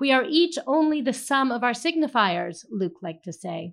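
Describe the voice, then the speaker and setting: With an American accent, a woman talks at a moderate pace, her pitch swinging very widely, over a quiet background. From California. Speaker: novelist. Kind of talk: reading aloud. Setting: stage with audience.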